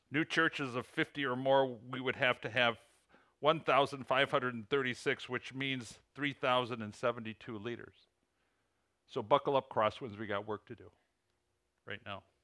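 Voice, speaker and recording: With an American accent and medium pitch, a man speaks in a bright, sharp tone with fairly even intonation. His loudness swings widely, and he leaves long, frequent pauses. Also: moderate pace. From US Midwest (Illinois). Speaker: preacher. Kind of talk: sermon. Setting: church.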